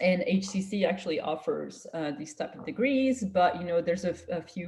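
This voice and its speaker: A woman talks with a French accent, somewhat breathy and fairly low in pitch. Her pace is fairly quick. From France. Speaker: scientist. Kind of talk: career talk to students.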